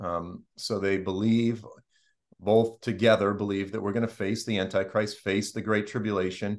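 Speaking at a moderate pace with an American accent, a man has a fairly low pitch over a quiet background. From Boston. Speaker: Bible teacher. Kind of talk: Bible study discussion. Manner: hesitant, many fillers. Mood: calm, measured. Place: home room. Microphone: video call.

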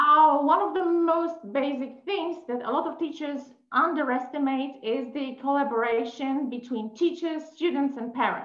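High female voice with hardly any pauses, audible room echo and a quiet background. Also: ordinary pitch variation, moderate pace. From Poland. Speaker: English teacher. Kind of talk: webinar presentation. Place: home room. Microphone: video call.

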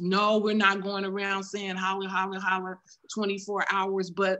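A woman's bright, sharp tone at a fairly slow pace. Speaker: church member. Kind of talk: spontaneous exhortation on prayer; sermon-like exhortation in prayer. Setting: video call. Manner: fervent, rhythmic repetition. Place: home room. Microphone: video call.

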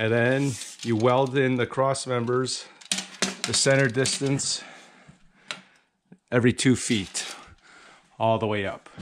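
This man's speech moves very slowly. The intonation remains fairly even throughout. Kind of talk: tutorial. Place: garage. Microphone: phone near.

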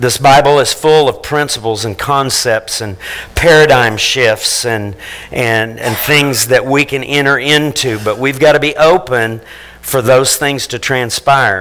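Pitch varies in an ordinary way as the talking proceeds fairly slowly. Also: man. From Missouri Ozarks, Fordland; Missouri. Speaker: pastor. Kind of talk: sermon. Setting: church. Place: church.

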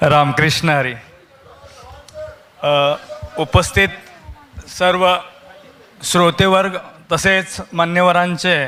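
Noticeable background noise sits under a man's high voice, which keeps fairly even intonation. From Solapur, Maharashtra. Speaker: poet. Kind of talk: introduction to an audience. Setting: live event stage.

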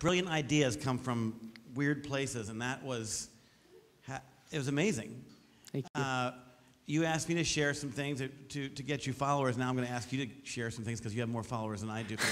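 The speaker is a man talking at a fairly quick pace. His pitch variation is ordinary. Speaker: teacher on a project review panel; panel judge. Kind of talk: feedback to a student. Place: hall.

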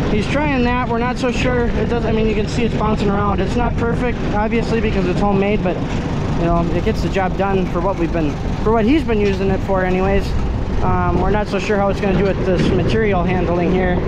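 Loud background noise fills the recording. The speech moves at a fairly quick pace. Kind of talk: casual vlog chat.

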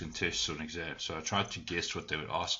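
A moderate pace over noticeable background noise. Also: man. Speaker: teacher or tutor. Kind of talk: tutorial. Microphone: webcam.

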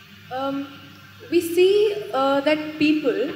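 Light background noise sits behind the voice. The room echo is audible. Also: woman. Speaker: student. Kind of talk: audience question. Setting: stage with audience. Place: hall. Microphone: handheld.

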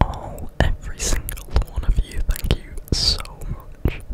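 A man whispers in a gentle tone. He goes at a fairly slow pace. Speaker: ASMR creator. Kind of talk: soft ASMR chat. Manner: gentle grateful ASMR whisper. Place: home room. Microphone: studio mic.

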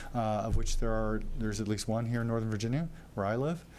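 This man moves at a fairly quick pace, and audible echo from the room surrounds his words. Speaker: developer or architect presenting a project. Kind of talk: presentation to city council. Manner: fast; many fillers (uh, um).

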